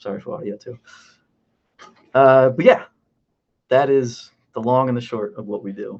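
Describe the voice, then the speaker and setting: Long, frequent pauses break up a man's speech at a moderate pace. His pitch is medium, with ordinary variation. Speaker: animation crowds artist. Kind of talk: online panel presentation. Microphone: poor audio.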